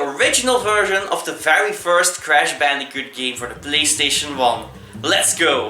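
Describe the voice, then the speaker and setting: A man with a Dutch accent speaks at a moderate pace in a high pitch for a man. Noticeable background noise and audible room echo are present. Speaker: gaming YouTuber. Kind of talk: video intro narration.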